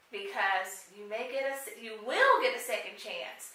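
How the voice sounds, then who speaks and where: A woman talks fairly slowly, with audible room echo and noticeable background noise around her. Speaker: career advice consultant. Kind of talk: interview chat. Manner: animated.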